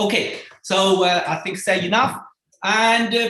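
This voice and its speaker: Speech comes very slowly. A non-native accent is present. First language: not English. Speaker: seminar series host. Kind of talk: seminar introduction. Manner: halting, many fillers.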